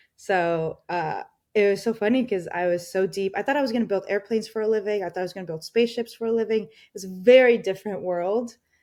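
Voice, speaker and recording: A woman with a Spanish accent, medium pitch and a dark, mellow tone, very fast with hardly any pauses, big swings in loudness, ordinary pitch variation, over a quiet background. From Colombia, moved to US at ten. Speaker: mental health tech founder and CEO. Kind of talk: podcast interview.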